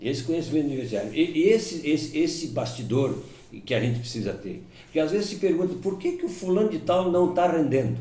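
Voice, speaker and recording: In a room with audible echo, a man speaks at a moderate pace in a high pitch with very wide pitch swings. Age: 70s. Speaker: sports radio broadcaster. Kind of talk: life-story interview. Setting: at home.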